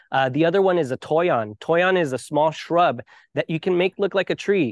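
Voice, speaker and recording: This man has an American accent and an unremarkable speaking voice, pitched fairly high. He talks at a moderate pace with ordinary pitch variation. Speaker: water conservation advocate. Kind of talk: interview.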